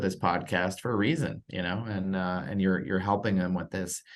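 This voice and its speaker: A man's very deep, low voice at a moderate pace against a quiet background. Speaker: podcast network executive and interview host. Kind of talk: podcast interview host talk.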